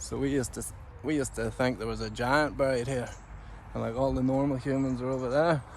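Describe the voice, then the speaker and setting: A man with a Northern Irish accent speaks at a very fast pace. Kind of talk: casual talk to camera. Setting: outdoors.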